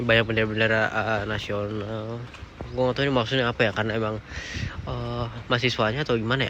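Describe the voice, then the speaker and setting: A soft-spoken man with a medium pitch talks at a very fast pace in a monotone, flat intonation. Noticeable background noise sits behind him. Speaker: vlogger. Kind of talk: casual vlog talk. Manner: halting.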